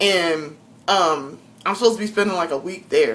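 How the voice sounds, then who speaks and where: An animated tone and lively intonation in a strong Southern US accent. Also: woman. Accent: strong Southern drawl. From South Carolina. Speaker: vlogger. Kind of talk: casual vlog monologue. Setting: home kitchen.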